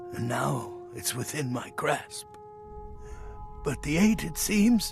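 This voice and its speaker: A man performs a put-on character voice at a fairly slow pace. Clear music plays in the background. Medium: game stream. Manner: impatient, wistful.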